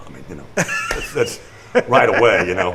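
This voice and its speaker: With noticeable background noise and audible room echo, a man speaks at a fairly quick pace. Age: 70s. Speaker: musician. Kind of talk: casual chat. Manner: halting.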